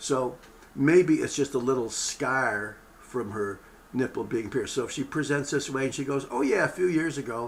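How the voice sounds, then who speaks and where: A man speaks with ordinary pitch variation amid audible room echo and noticeable background noise. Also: medium pitch for a man, moderate pace. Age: 70s. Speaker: medical lecturer. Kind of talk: lecture. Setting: webinar broadcast. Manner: casual, conversational.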